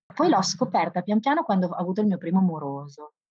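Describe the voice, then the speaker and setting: Very fast speech from a woman at a medium pitch. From Bologna area, Italy (grew up in a village near Bologna, time in Livorno). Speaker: primary school teacher. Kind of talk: interview storytelling. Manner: animated.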